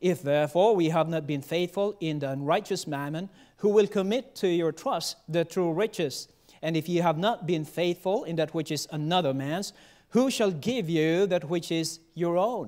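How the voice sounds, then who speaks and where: A man talks with a high pitch and ordinary pitch variation, keeping a moderate pace over a quiet background. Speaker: preacher. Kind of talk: sermon. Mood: solemn, earnest. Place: church. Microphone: podium.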